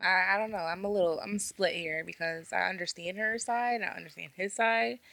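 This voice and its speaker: At a moderate pace, a woman with a plain, everyday voice speaks at medium pitch with lively intonation, in a very clean recording with a silent background. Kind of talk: casual banter.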